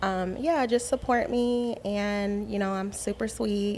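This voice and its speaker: A woman's voice with ordinary pitch variation. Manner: friendly, sweet.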